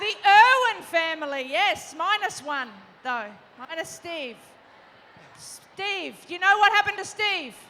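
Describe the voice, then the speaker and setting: A raised, projected voice with a bright, sharp tone and an Australian accent moves at a fairly slow pace with long, frequent pauses. Its pitch swings very widely and its loudness swings a lot. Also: woman, extremely high pitch for a woman. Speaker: panel moderator, former Olympic volleyball player. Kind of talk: live panel moderation to young audience. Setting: stage with audience. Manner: animated.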